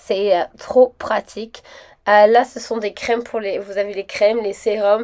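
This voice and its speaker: In a monotone, flat intonation, the woman talks with a fairly high pitch. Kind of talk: casual shopping haul talk to camera. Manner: chatty, hesitant with many fillers.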